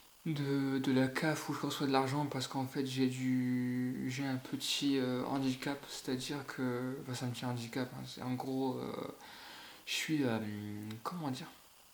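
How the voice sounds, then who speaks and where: A man speaks at a fairly slow pace in a monotone, flat intonation. Audible room echo surrounds his voice. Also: medium pitch for a man. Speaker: YouTuber. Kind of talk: casual vlog rant. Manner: halting.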